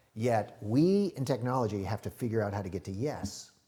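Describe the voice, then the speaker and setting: Lively intonation runs through a man's plain, everyday voice at a medium pitch. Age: 60s. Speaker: IT strategy consultant, former music industry executive. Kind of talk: podcast interview.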